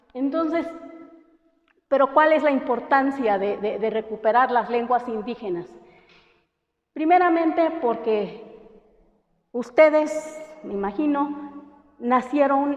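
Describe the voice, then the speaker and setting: High in pitch, a woman talks at a very slow pace with lively intonation. Long, frequent pauses break up her speech. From Oaxaca coast, Mexico (Santa María Huazolotitlán). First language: Mixtec (speaking Spanish). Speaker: language teacher. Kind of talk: lecture. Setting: classroom. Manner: hesitant, many fillers.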